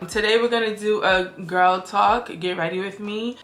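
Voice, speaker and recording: With noticeable background noise behind her, a woman speaks at a medium pitch with fairly even intonation. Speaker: beauty vlogger. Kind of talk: casual chat. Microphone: poor audio, mic was not on.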